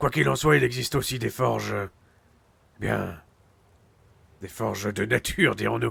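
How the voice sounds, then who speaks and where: A man does a put-on character voice that is raspy and fairly low in pitch. He moves at a moderate pace with long, frequent pauses. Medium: game stream. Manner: measured, commanding.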